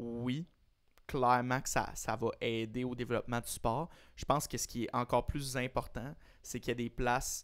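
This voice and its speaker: A man with a Quebec accent, medium pitch and monotone, flat intonation at a moderate pace, on a very clean recording with a silent background. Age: 20s. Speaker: tennis podcast co-host. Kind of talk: casual chat. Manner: halting, repeats words.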